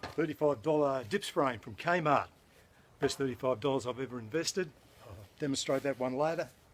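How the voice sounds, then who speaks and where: The man's voice sits at a medium pitch. He keeps a moderate pace. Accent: Australian. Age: 60s. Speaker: fitness enthusiast. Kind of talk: tutorial. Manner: casual, hesitant with fillers.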